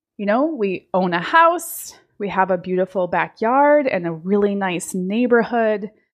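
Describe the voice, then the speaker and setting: A woman at medium pitch talks fairly slowly with lively intonation and hardly any pauses. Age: 40s. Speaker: life and business coach, podcast host. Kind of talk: solo monologue podcast.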